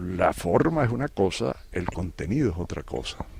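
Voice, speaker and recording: With very wide pitch swings, a man talks with vocal fry. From Venezuela. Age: 70s. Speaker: retired educator and writer. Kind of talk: interview. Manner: halting, many repetitions.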